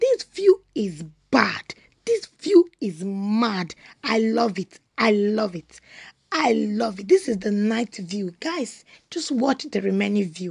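The woman talks very slowly. Nothing stirs in the background. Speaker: vlogger. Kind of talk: casual vlog chat. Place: car. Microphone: phone near.

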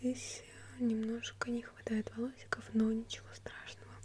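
A woman's voice over noticeable background noise. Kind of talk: soft-spoken role-play chat. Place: home room.

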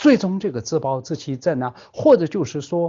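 A man with a Tibetan accent and fairly high pitch speaks at a fairly slow pace with lively intonation. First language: Tibetan (speaking Chinese). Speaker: Buddhist teacher. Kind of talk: dharma lecture. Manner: halting, many filler sounds.

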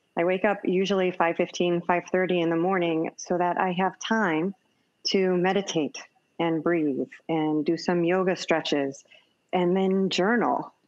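At a fairly slow pace, a woman speaks in a fairly low voice with very even loudness and fairly even intonation. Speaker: dentist and mindfulness speaker; panelist, meditation guide. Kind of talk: panel discussion and guided meditation. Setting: video call. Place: home room. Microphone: video call.

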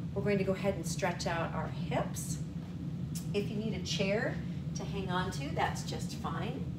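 Loud background noise fills the clip. A woman speaks at a fairly slow pace. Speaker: fitness instructor. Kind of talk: exercise class instruction. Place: home room. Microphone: camera far.

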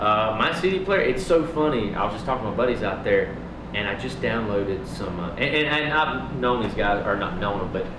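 Noticeable background noise under talk at a fairly quick pace. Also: man. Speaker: guest. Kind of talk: interview answer. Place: home room. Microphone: handheld.

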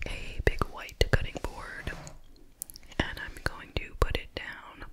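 Someone whispers in a soft-spoken way over light background noise. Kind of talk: casual vlog chat. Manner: soft ASMR whisper.

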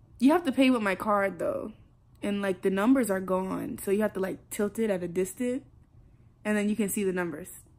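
Fairly quick talk from a woman with ordinary pitch variation. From South Carolina. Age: young. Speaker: college freshman. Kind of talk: casual vlog talk to camera. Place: home room. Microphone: phone near.

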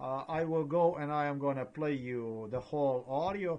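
At medium pitch and a fairly slow pace, a man speaks with ordinary pitch variation and a slightly mellow tone.

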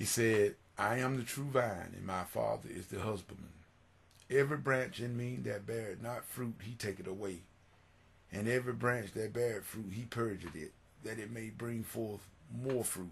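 The man's voice is somewhat breathy, keeping a moderate pace with ordinary pitch variation. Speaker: church music minister and devotional video host. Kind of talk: fervent prayer followed by sermon-style scripture reading and exhortation. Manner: earnest, pleading, preacher-like with repeated phrases and halting restarts; warm, devout, exhorting. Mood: earnest, devotional. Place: home room. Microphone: webcam.

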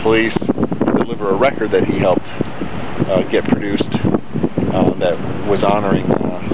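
A man's voice over loud background noise, with a dry sound and no echo. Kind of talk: casual vlog chat. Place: street. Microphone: phone near.

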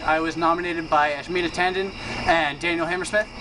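A man talks at a fairly quick pace. Noticeable background noise sits behind him. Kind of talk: casual vlog chat. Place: garden. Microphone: camera far.

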